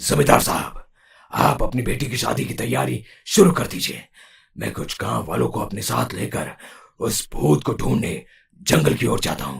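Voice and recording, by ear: Cartoonish character voice from a man, very deep and low, with very wide pitch swings at a moderate pace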